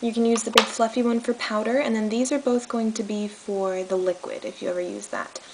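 A woman speaks with ordinary pitch variation. Light background noise sits behind her. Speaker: makeup tutorial host. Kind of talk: tutorial. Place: home room. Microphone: phone near.

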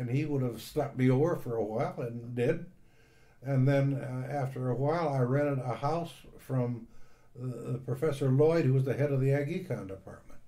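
This man has an American accent, a medium pitch, and a dark, mellow, somewhat breathy tone. He talks at a moderate pace with fairly even intonation, and room echo is audible. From US Midwest, northwest Indiana. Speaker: retired university staff member. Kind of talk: oral history interview. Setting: at home.

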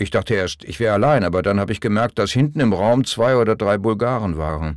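Here a man has a normal speaking voice, fairly low in pitch, with lively intonation. The recording is very clean, with a silent background. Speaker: audiobook narrator. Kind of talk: audiobook reading of memoir, first-person recollection. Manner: somber, reflective.

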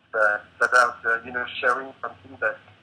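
Speaking with a French accent, this man keeps a moderate pace. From France. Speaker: painter and installation artist. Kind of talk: interview. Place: home room. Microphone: video call.

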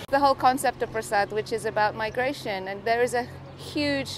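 The speech moves at a moderate pace with ordinary pitch variation, light background noise and a dry sound with no echo. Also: woman. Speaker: interviewee. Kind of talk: interview answer. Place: street.

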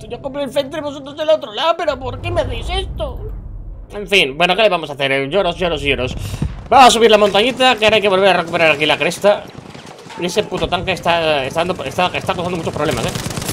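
Over light background noise, a man with a Castilian accent speaks at a very fast pace. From Spain. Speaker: gaming youtuber. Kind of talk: live gameplay commentary. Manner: animated. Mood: joking, mildly exasperated. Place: home room. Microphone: headset.

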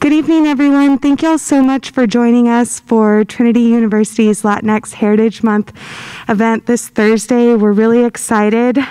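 An ordinary speaking voice from a woman, fairly high-pitched and fairly quick, with very even loudness and fairly even intonation. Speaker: university diversity director; event host introducing speaker. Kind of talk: event introduction. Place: hall. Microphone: podium.

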